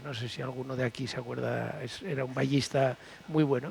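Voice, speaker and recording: A man speaks at a moderate speed while noticeable background noise plays behind him. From Aragon, Spain (Monzón, Huesca). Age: 60s. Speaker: retired hurdler. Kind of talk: panel talk. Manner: animated storytelling.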